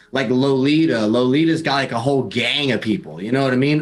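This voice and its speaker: Fairly quick, animated delivery from a man at medium pitch, with lively intonation and music in the background. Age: 30s. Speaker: new streaming partner, gamer. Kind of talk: casual chat.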